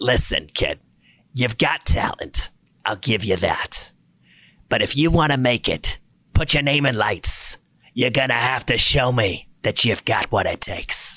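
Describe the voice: A man uses a raspy, put-on character voice at medium pitch, keeping a moderate pace and very even loudness.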